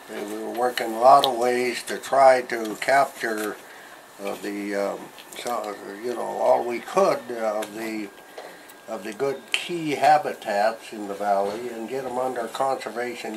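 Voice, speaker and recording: Against noticeable background noise, a man speaks fairly slowly at a medium pitch, with ordinary pitch variation and big swings in loudness. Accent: American. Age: 80s+. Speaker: retired forest service conservationist. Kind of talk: interview answer. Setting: outdoors. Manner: hesitant, rambling.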